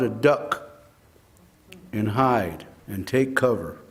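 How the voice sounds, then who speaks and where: A man in an American accent, with ordinary pitch variation and audible room echo. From Arizona (Kingman). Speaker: public commenter at hearing. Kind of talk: public testimony. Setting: public hearing.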